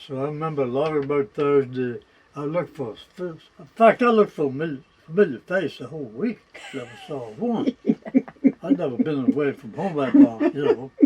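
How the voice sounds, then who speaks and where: Speaking with an American accent at a fairly quick pace, a man has a fairly high pitch, lively intonation, big swings in loudness and long, frequent pauses over noticeable background noise. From Virginia, Middlesex County (Deltaville). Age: 100 years old. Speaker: war veteran and retired hardware merchant. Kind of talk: oral history interview. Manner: halting, with false starts and repetitions.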